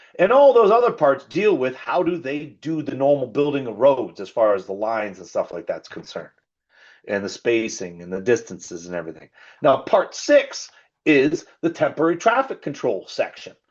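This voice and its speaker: This man sounds animated, with a fairly high pitch and vocal fry. His pitch swings very widely and his loudness rises and falls a great deal. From Canada. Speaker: safety trainer. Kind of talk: training presentation. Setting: video call. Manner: fast; casual, animated.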